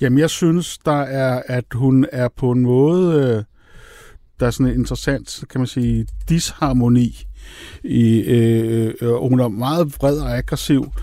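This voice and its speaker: A man's dark, mellow tone at medium pitch, very slow pace and fairly even intonation. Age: 60s. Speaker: screenwriter. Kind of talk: casual chat. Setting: studio.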